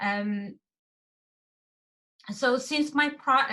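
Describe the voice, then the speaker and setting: Speaking at a very slow pace, a woman with a Xinjiang accent uses lively intonation and a bright, sharp tone. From East Turkestan (Xinjiang), Gulja. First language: Uyghur. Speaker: activist. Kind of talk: testimony. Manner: halting, many fillers.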